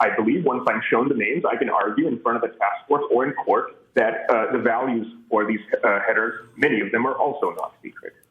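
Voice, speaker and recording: A man talks at a fairly quick clip over noticeable background noise. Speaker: petitioner. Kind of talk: public hearing testimony. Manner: fast.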